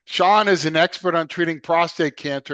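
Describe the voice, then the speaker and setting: Against a quiet background, a man with an American accent speaks at a very fast pace in a fairly high pitch with ordinary pitch variation. His tone is bright and sharp, and the sound is dry and close, with no echo. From US Northeast, Philadelphia. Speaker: podcast host, radiation oncologist. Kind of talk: casual interview. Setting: podcast.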